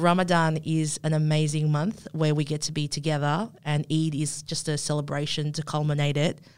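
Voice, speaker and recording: Her pitch is very deep and low. This woman's intonation stays flat, a monotone throughout. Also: moderate pace, very clean recording, silent background. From Indonesia. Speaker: student podcast host. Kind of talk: casual interview.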